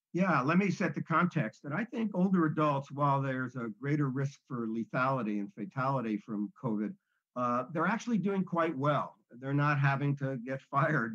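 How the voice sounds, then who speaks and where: A man's normal speaking voice, pitched fairly high, lively in intonation and moderate in pace. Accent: American. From US Northeast, New Jersey. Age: 60s. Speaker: speaker on aging. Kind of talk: interview.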